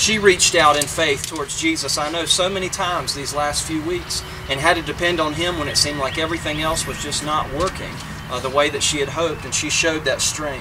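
A man at a fairly quick pace over noticeable background noise. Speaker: minister officiating a funeral. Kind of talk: funeral sermon. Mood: gentle, solemn, comforting. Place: open country. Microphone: camera far.

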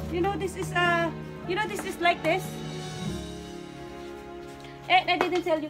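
Music plays clearly behind the speaker. She is a woman talking at a moderate pace. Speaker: vlogger. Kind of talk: casual vlog chat. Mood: excited, then annoyed. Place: garage. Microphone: phone near.

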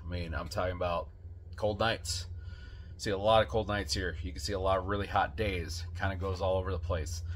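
A man's very deep, low, somewhat breathy voice at a fairly quick pace, fairly even intonation, and light background noise. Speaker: motorcycle blogger. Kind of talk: casual vlog chat. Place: garage.

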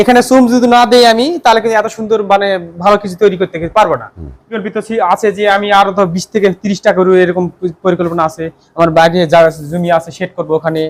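This man's voice sits at a high pitch, with ordinary pitch variation. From northern Bangladesh, Naogaon. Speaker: cattle farmer. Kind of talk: interview answers.

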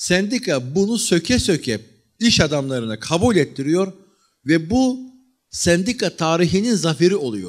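Over a quiet background, a man talks at a fairly slow pace in a high voice. His tone is animated, with very wide pitch swings. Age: 40s. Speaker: history lecturer. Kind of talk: lecture. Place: hall. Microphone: handheld.

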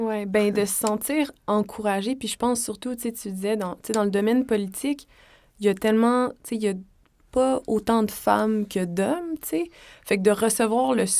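On a very clean recording with a silent background, a woman with a fairly high pitch and ordinary pitch variation speaks at a moderate pace. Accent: Quebec. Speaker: podcast host. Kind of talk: casual chat.

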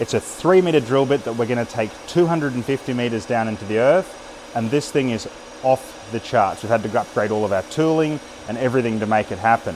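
Over light background noise, a man speaks fairly quickly with ordinary pitch variation. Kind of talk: casual vlog chat. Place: workshop. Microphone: phone near.

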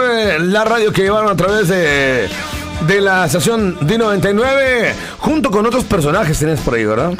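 Speech at a moderate pace over clear music in the background. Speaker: radio interviewer. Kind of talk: radio interview. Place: studio.

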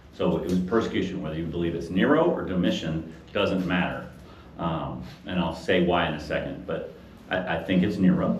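Amid noticeable background noise and audible room echo, the speaker goes at a fairly quick pace with ordinary pitch variation. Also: man, very deep, low pitch for a man. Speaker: Bible study teacher. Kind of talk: lecture. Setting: room with live audience. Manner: fast when excited; animated.

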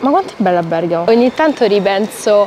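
A woman talks at a fairly quick pace. The sound is dry with no echo, with light background noise. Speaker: travel vlogger. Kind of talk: casual vlog chat. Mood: cheerful, playful, curious. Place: street. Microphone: lapel.

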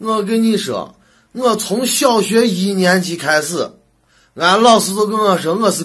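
In a Shaanxi accent, a man talks at a very slow pace and a high pitch, on a very clean recording with a silent background. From Shaanxi, China. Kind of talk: comedic monologue to camera.

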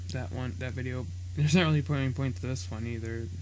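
Somewhat breathy and with lively intonation, a man speaks over light background noise. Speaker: gaming vlogger. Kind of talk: casual commentary.

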